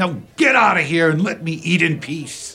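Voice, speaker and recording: This is a gruff, put-on character voice from a man. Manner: gruff, irritated.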